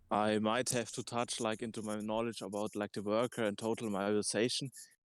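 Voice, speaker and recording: A man with a non-native accent speaks in a monotone, flat intonation. The audio is dry and close, with no echo. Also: fairly quick pace, very clean recording, silent background. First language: not English. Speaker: discussion participant. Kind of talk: group discussion. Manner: halting.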